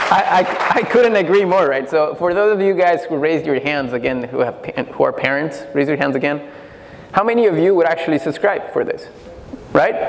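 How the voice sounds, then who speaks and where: A man with a high pitch talks at a fairly quick pace, his intonation lively. Noticeable background noise and audible room echo surround him. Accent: Spanish. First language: Spanish. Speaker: pitch contest judge. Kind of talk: panel critique. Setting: stage with audience.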